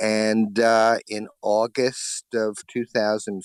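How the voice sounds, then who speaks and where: The recording is very clean, with a silent background. A man with an American accent speaks at a fairly low pitch. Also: dry, close sound with no echo. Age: 60s. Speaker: recovering gambler, retired attorney. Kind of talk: testimony. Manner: halting, many fillers.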